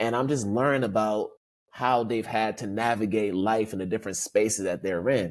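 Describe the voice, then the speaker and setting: Here is a man with an American accent and a plain, everyday voice. His pitch is fairly low, his intonation fairly even, and his pace moderate. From United States. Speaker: diversity consultant and author. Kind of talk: podcast interview.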